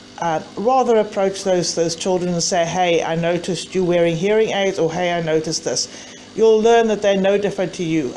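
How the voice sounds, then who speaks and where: Over noticeable background noise, a woman with a medium pitch speaks at a fairly quick pace and with fairly even intonation. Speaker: mother of a bullied child. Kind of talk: personal testimony to camera.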